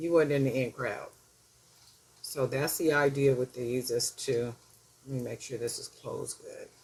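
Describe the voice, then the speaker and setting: Against noticeable background noise, a woman with a very deep, low voice talks at a fairly slow pace. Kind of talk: tutorial. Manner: casual, chatty; mumbling at times.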